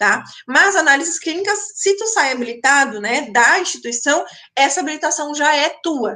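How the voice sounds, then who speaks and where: Raised and projected, a woman's bright, sharp, high voice carries lively intonation at a moderate pace. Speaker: university lecturer. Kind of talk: online lecture answering chat questions. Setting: online live stream.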